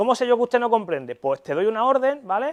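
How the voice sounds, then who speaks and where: A man speaks very fast with very wide pitch swings, the sound dry and close with no echo against a quiet background. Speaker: neuropsychologist. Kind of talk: lecture. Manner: animated.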